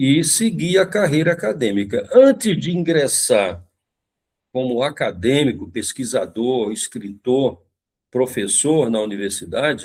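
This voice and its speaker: Recorded very cleanly against a silent background, a man with a fairly high pitch speaks at a fairly slow pace with very wide pitch swings. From Brazil, Brasília (from age five). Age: 70s. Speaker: professor and esoteric practitioner. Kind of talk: podcast interview. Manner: halting, with many fillers and repetitions.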